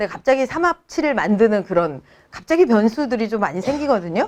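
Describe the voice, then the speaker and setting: A fairly high-pitched woman at a fairly quick pace, pitch swinging very widely, against a quiet background. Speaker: essay-writing cram school teacher. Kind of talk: informational talk to parents. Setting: seminar room with parent audience.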